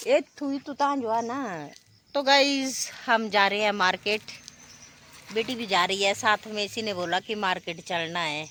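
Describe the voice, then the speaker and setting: A woman's fairly high-pitched voice with lively intonation, amid noticeable background noise. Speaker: vlogger. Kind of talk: casual vlog narration. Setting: outdoors, market.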